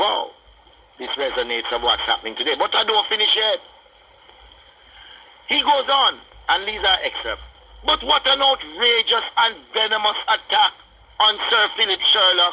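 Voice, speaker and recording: A Jamaican accent at a moderate pace, with long, frequent pauses. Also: man. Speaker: radio talk show host. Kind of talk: radio talk show monologue. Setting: radio broadcast.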